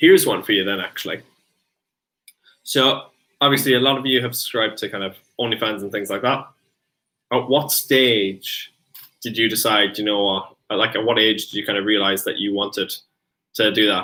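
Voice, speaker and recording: A man with an Irish accent talks at a fairly quick pace and a fairly low pitch. He takes long, frequent pauses. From Ireland. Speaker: streamer's boyfriend. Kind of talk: casual chat. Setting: live stream.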